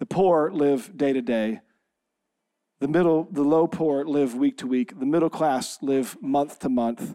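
Heard on a very clean recording with a silent background, a man speaks at a fairly slow pace. His tone is dark and mellow, and his pitch is fairly high. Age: 40s. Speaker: pastor. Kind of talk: church sermon, conversational and anecdotal. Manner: casual, joking storyteller with fillers and restarts.

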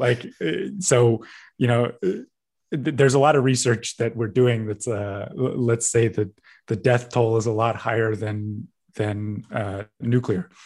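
A man with a Canadian accent speaks fairly slowly at a medium pitch with ordinary pitch variation. His voice is somewhat breathy, and the background is quiet. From Canada, British Columbia. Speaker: magazine editor. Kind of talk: interview.

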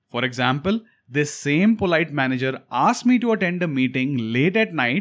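In an Indian accent, a man talks at a fairly quick pace with a fairly high pitch. His pitch swings very widely, and the recording is very clean with a silent background. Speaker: podcast host. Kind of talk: solo monologue.

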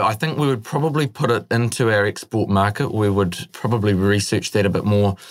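Here a man talks at a fairly quick pace with a New Zealand accent. His pitch sits fairly low. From New Zealand, Northland (born in the Netherlands). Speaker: young entrepreneur. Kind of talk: interview.

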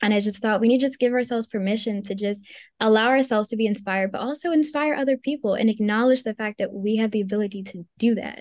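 A woman with an American accent, fairly high in pitch with ordinary pitch variation, at a very fast pace, in a dry, close sound with no echo and a quiet background. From Maryland. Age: 20s. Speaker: magazine founder. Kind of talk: interview. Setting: video call.

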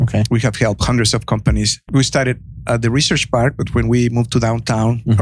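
Somewhat breathy and very fast, a man speaks with a Mexican accent. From Mexico. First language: Spanish. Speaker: entrepreneur and economic development consultant. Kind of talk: podcast interview. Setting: on-location recording in a venue green room.

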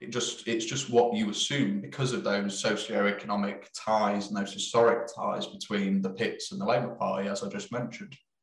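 A man with an East Midlands accent and lively intonation. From East Midlands, England. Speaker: film director. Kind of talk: interview chat.

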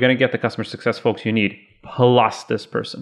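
The pace of this man's speech is fairly quick. His voice sits at a medium pitch. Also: quiet background. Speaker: podcast co-host. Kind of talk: casual podcast conversation. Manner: energetic, laughs often.

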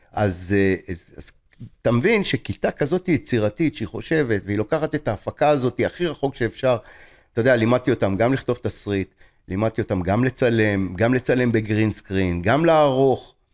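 A man with an ordinary speaking voice, medium pitch and lively intonation at a moderate pace, in a dry, close sound with no echo on a very clean recording with a silent background. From Israel. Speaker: film director and teacher. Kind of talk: interview.

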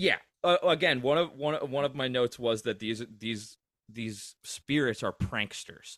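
A man speaks at a fairly slow pace in a medium pitch with ordinary pitch variation, in an unremarkable speaking voice. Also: dry, close sound with no echo. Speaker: podcast host and musician. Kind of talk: casual chat.

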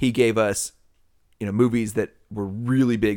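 An enthusiastic tone at a moderate pace. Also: man. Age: 40s. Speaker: podcast co-host. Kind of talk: casual chat. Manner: loud and enthusiastic.

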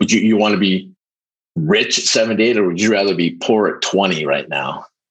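A man with a normal speaking voice talks at a moderate pace. His pitch is fairly low and his loudness very even. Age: 50s. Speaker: recovering alcoholic, salesperson. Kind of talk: interview, personal testimony.

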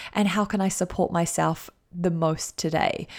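With a New Zealand accent, a woman speaks at a moderate pace and medium pitch in a very clean recording with a silent background. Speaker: life coach and podcast host. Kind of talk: motivational solo podcast talk. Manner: animated.

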